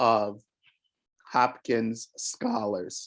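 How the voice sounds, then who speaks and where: Very slowly, a man talks with an American accent. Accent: New York accent, comes out now and then. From New York (Harlem). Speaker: school district equity officer. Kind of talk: invited talk at a parent meeting. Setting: video call. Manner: halting, many fillers.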